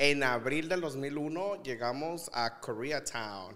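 A man is talking. His intonation shows ordinary variation. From León, Guanajuato, Mexico; Guanajuato, Mexico. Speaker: social media influencer. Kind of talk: casual chat. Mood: animated storytelling. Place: studio. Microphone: studio mic.

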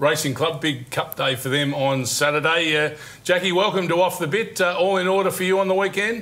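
A man with an Australian accent talks at a fairly quick pace, high in pitch with ordinary pitch variation. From Australia, Deniliquin NSW; New South Wales, Australia. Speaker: horse racing TV show host. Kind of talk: TV sports magazine show presenting. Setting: TV studio. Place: studio. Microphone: lapel.

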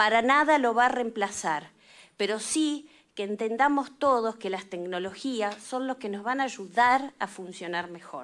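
A woman talks at a fairly slow pace with lively intonation against a quiet background. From Argentina. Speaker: legislator. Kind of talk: committee hearing speech. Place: meeting room. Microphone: podium.

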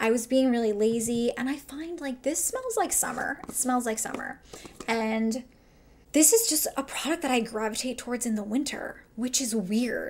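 A woman speaks high and upbeat at a moderate pace. Light background noise sits beneath her. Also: ordinary pitch variation. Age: 30s. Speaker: makeup artist. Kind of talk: casual talk to camera. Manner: chatty, upbeat. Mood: relaxed, self-deprecating. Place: home room.

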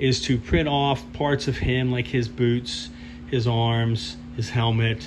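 Noticeable background noise sits under the recording. A man talks, his pitch varying in an ordinary way. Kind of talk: casual build vlog commentary. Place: workshop. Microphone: phone near.

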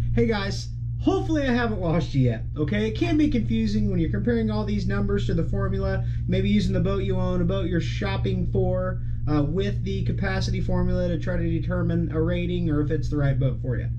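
Fairly quick, fairly even speech at very even loudness, with music in the background. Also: man, very deep, low pitch for a man. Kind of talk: tutorial. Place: office.

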